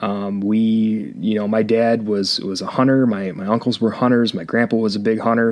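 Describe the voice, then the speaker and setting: A man with an Upper Midwest accent speaks at a moderate pace and medium pitch. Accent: Upper Midwest American. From Michigan. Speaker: podcast co-host. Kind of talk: casual chat. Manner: halting.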